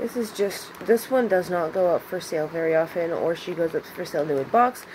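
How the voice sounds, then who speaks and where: Light background noise sits under a woman speaking at a moderate pace with ordinary pitch variation. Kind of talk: casual vlog chat. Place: home room. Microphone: phone near.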